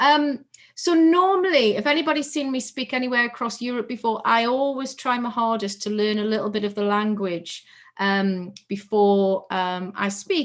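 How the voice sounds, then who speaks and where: With an unremarkable speaking voice, a woman speaks at a moderate pace, her fairly high pitch carried by lively intonation. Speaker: keynote speaker. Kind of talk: conference keynote talk.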